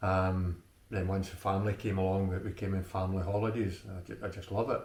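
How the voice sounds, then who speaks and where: Someone talks at a very fast pace in an Ayrshire accent, with monotone, flat intonation. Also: man, very deep, low pitch for a man. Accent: Scottish, Ayrshire. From Scotland, Ayrshire. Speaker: local Burns enthusiast. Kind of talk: interview. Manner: hesitant, many fillers.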